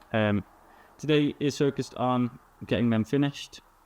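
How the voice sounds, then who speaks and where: A man speaks with fairly even intonation in a dry, close sound with no echo. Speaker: entrepreneur vlogger. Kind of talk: casual vlog monologue.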